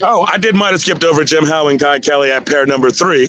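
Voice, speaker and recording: A man talks in an animated tone. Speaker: drag racing livestream commentator. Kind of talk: live commentary. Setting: livestream. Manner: loud.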